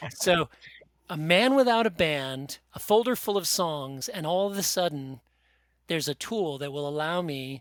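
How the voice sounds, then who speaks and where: This man talks at a moderate pace with a fairly high pitch and lively intonation. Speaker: singer-songwriter and author. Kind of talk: interview.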